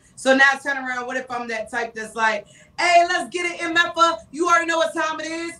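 Over noticeable background noise, a woman with an extremely high pitch speaks at a fairly quick pace in a raised, projected, animated voice, her loudness swinging widely while her pitch varies in an ordinary way. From North Carolina, Charlotte. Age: 30s. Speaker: radio personality. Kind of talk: casual chat.

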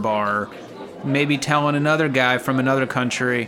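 An animated-toned man at a moderate pace, medium pitch and ordinary pitch variation, with noticeable background noise. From Los Angeles. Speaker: podcast co-host. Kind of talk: casual comedic banter. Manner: jokey, animated.

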